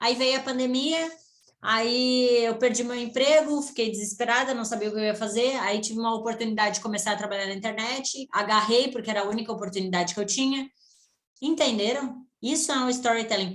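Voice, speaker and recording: Fairly high-pitched with ordinary pitch variation, a woman speaks quickly-ish, at a fairly quick pace, in a plain, everyday voice. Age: 20s. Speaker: online business mentor. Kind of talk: online mentoring session. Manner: casual, conversational.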